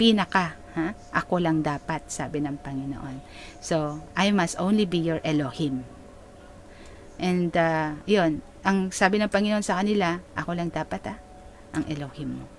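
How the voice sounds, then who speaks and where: A woman's unremarkable speaking voice, fairly low in pitch and fairly slow, with ordinary pitch variation. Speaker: preacher / pastor. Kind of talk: sermon, preaching to a congregation in Taglish. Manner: explanatory, conversational, rhetorical questions.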